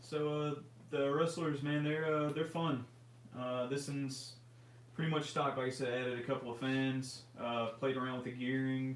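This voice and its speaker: A man with a Memphis accent speaks at a moderate pace and medium pitch, in a monotone, flat intonation. Noticeable background noise and audible room echo are both present. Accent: Southern US (Memphis area). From US South, near Memphis, Tennessee. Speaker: RC hobby livestream co-host. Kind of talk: casual livestream chat. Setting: live stream.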